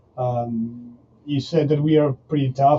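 A somewhat breathy man with a Spanish accent talks at a fairly slow pace with fairly even intonation. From Argentina. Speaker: professional rugby player and entrepreneur. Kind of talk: interview. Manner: halting.

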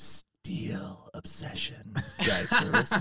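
A put-on character voice comes through raspy, at a low-to-middle pitch. It moves in very wide pitch swings. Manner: eerie, chilling, drawn out.

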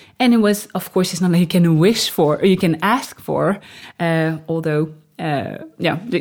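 A woman's medium pitch with a French accent, ordinary pitch variation and a fairly slow pace. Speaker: new mother sharing birth story. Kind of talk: interview storytelling. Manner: halting, many fillers.

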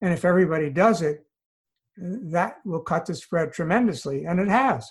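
A moderate pace in an American accent over a quiet background. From US Northeast, New York City. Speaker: retired psychiatrist. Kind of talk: interview.

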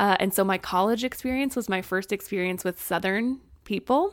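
In a very clean recording with a silent background, a woman with an American accent uses a normal speaking voice at a medium pitch. She keeps a moderate pace and fairly even intonation. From Springfield, Missouri. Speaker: content creator. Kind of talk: casual chat.

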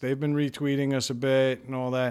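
A man with a plain, everyday voice talks at a medium pitch and a fairly quick pace with ordinary pitch variation. The recording is very clean, with a silent background. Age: 40s. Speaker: podcast co-host. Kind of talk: casual chat; scripted monologue.

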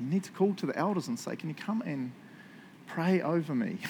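Speaking at a moderate pace, a man with a New Zealand accent makes very wide pitch swings. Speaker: pastor. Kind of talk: sermon. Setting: church. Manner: animated.

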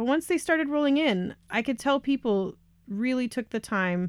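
In a very clean recording with a silent background, a woman with an American accent uses a plain, everyday voice, lively intonation and a moderate pace. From Colorado, US. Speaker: podcast host. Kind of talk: scripted narration.

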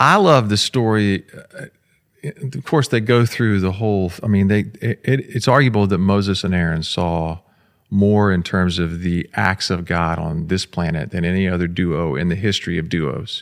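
This man's voice sits very deep and low, moving at a moderate pace with ordinary pitch variation. The recording is very clean, with a silent background. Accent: American. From Florida, Jacksonville. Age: 50s. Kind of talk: casual chat. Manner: pauses before answering.

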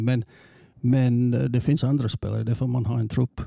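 A man with a dark, mellow, somewhat breathy voice at medium pitch, moderate in pace and flat in intonation, with a dry, close sound and no echo. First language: English (speaking Swedish). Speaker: football coach. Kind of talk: interview. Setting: studio. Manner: halting.

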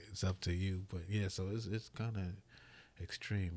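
Very fast and somewhat breathy, a man speaks at a very deep, low pitch with monotone, flat intonation on a very clean recording with a silent background. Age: 40s. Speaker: herbalist. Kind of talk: casual chat.

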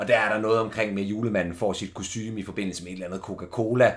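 Here a man speaks with a fairly low pitch. His intonation stays fairly even. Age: 20s. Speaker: podcast host. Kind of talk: casual chat. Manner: halting.

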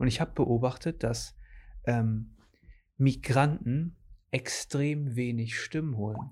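On a very clean recording with a silent background, a man's somewhat breathy, medium-pitched voice shows ordinary pitch variation. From Germany, grandson of Portuguese guest workers. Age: 20s. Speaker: podcast host. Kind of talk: casual interview chat.

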